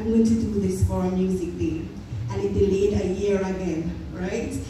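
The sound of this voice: A woman at medium pitch and moderate pace, fairly even intonation, audible room echo and clear background noise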